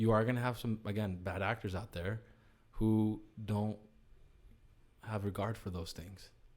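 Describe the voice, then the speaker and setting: Fairly even intonation marks this man's speech with a Spanish accent. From US, child of Chilean immigrants. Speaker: company CEO. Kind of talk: podcast interview. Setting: studio. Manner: casual, many filler words and repetitions.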